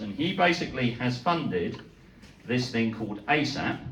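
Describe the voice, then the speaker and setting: A man with a British accent talks at a medium pitch with lively intonation. Audible room echo and noticeable background noise surround him. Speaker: neurologist. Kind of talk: lecture. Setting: talk to a live audience. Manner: hesitant, with fillers.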